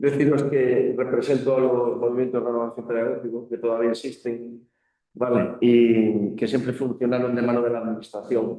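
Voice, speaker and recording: A man's medium-pitched voice with a Galician accent and monotone, flat intonation. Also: moderate pace. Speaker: school council member. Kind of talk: panel discussion.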